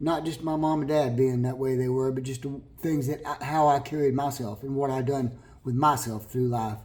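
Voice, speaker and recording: There is audible room echo as a man with an American accent speaks, somewhat breathy and with fairly even intonation. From California. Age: 60s. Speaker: vlogger. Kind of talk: personal testimony to camera. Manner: halting, with repetitions.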